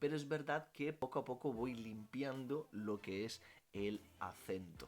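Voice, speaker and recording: Fairly slow speech from a man, his pitch varying in an ordinary way. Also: medium pitch for a man. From Italy. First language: Italian (speaking Spanish). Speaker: language teacher and youtuber. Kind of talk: Q&A vlog.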